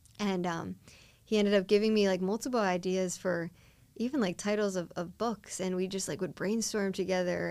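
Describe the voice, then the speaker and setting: A woman's unremarkable speaking voice with an American accent, medium in pitch, at a fairly quick pace with fairly even intonation. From Delaware County, Pennsylvania. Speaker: faith speaker and outreach volunteer. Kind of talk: casual interview.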